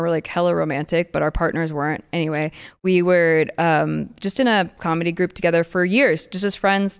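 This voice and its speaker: A woman speaks with an American accent in a plain, everyday voice, fairly low in pitch for a woman. Her pace is moderate, her intonation fairly even, and the background is quiet. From California. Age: 20s. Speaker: poker player and former actor, comedian. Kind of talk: casual chat. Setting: studio.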